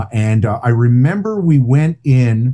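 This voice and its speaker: A man speaks with an American accent. His voice is somewhat breathy, with a dark, mellow tone. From New Jersey, Englishtown. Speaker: rock radio host and author. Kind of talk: casual interview chat. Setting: video call from home studio.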